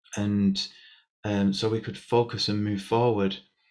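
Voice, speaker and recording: Soft-spoken and fairly low in pitch, a man talks at a fairly slow pace with monotone, flat intonation. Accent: Lancashire. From Bury, Lancashire, England. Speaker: spiritualist medium. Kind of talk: interview answer.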